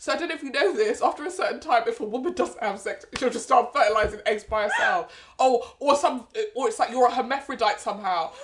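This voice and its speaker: A woman with a British accent talks at a very fast pace, her high voice making very wide pitch swings. There is noticeable background noise. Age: 20s. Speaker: podcast co-host. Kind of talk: casual chat.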